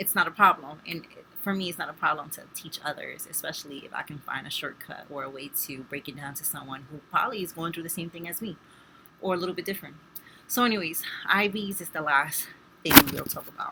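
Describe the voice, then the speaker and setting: Spoken very fast with a Spanish accent, the voice has ordinary pitch variation and big swings in loudness. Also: woman, fairly low pitch for a woman. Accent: Spanish accent, some mispronunciations. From Spanish-speaking background. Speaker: nursing student. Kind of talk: tutorial. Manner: casual, with fillers.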